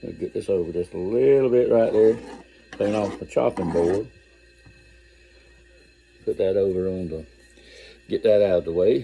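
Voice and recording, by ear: Speaking at a fairly slow pace with long, frequent pauses, a man uses a fairly low voice with a dark, mellow tone, a slightly husky edge and vocal fry. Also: ordinary pitch variation.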